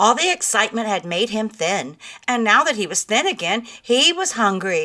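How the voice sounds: The clip features a natural reading voice.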